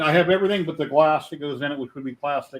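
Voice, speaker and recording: A man's normal speaking voice, fairly high in pitch, with fairly even intonation. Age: 50s. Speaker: livestream host. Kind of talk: casual chat.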